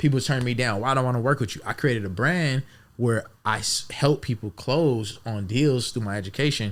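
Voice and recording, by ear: A man at medium pitch, moderate pace and ordinary pitch variation.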